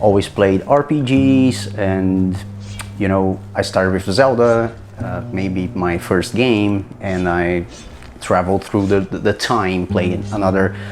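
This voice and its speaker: Over noticeable background noise, a man with a Brazilian Portuguese accent speaks in a fairly low voice. His pace is fairly slow, with ordinary pitch variation. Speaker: hobbyist game developer, content creator. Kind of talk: casual video log. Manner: halting, many repetitions and false starts.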